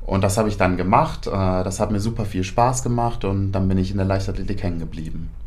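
With audible room echo, a man with vocal fry talks fairly quickly at a fairly low pitch and ordinary pitch variation. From Germany, near Paderborn. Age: 20s. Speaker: decathlete. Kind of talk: interview.

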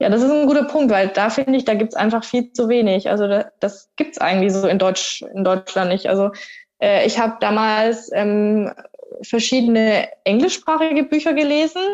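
A woman speaks at a fairly high pitch with very even loudness. It is an ordinary speaking voice. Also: lively intonation, moderate pace. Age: 30s. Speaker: triathlete. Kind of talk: casual chat.

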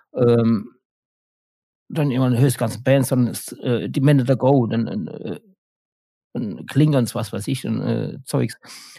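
A man speaks at a fairly slow pace in a medium-pitched voice, with ordinary pitch variation and long, frequent pauses. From Germany, Mannheim. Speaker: guitarist and sound engineer in a band. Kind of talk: casual interview.

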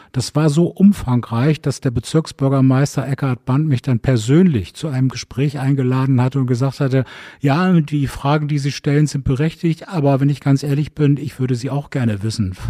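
The man's voice has a dark, mellow tone and a fairly high pitch. He talks at a moderate pace. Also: ordinary pitch variation, hardly any pauses, dry, close sound with no echo. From northern Germany, Bremen. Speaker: district mayor. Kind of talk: interview. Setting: town hall library.

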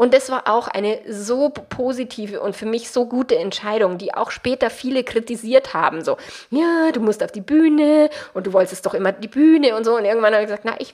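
With a Bavarian accent, a woman speaks at a fairly quick pace. Her high voice shows ordinary pitch variation. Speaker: relationship coach and podcast host. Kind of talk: solo podcast monologue, coaching advice.

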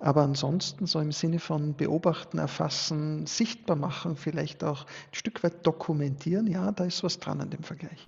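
A man speaks with a fairly high pitch and ordinary pitch variation. He has a normal speaking voice and keeps a moderate pace. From Austria, Styria (upper Murtal). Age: 40s. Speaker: sociologist and business owner. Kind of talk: podcast interview.

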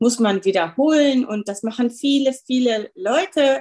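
Using an ordinary speaking voice, a woman talks at a fairly slow pace with lively intonation. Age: 50s. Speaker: dermatologist. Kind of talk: interview.

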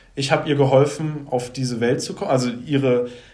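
Audible room echo surrounds a man's medium-pitched voice. His intonation stays fairly even. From Saxony, Leipzig. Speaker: life coach and former musician. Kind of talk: podcast interview.

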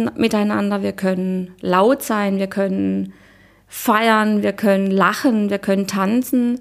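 With a plain, everyday voice at medium pitch, a woman speaks at a fairly slow pace with fairly even intonation. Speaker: retreat participant. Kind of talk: interview. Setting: villa on Cyprus during a retreat.

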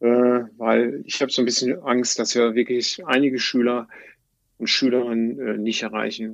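Fairly even in intonation, a man speaks at a medium pitch. His pace is moderate. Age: 60s. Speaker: teacher, former civil engineer. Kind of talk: interview. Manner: halting.

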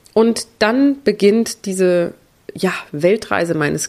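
A woman speaks with lively intonation. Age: 30s. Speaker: podcast host, breast cancer survivor. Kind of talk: personal monologue. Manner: halting.

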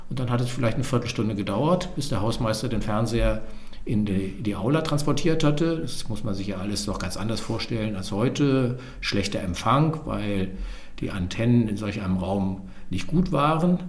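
A medium-pitched man at a moderate pace, with audible room echo and noticeable background noise. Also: lively intonation. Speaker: historian and author. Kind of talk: interview.

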